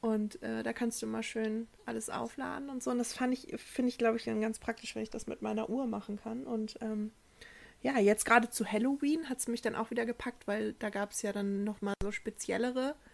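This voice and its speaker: A woman's unremarkable speaking voice at a fairly high pitch, with ordinary pitch variation and a moderate pace. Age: 20s. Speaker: podcast co-host. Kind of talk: casual chat.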